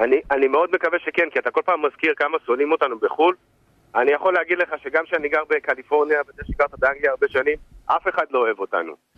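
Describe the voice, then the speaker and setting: A man at a fairly high pitch, talking at a very fast pace. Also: ordinary pitch variation. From Israel, Kiryat Eliezer (Haifa). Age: 40s. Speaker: caller. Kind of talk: phone-in call. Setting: phone call.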